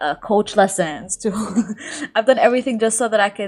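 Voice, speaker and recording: A woman speaks with fairly even intonation. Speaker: lifestyle YouTuber. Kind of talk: podcast interview. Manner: fast.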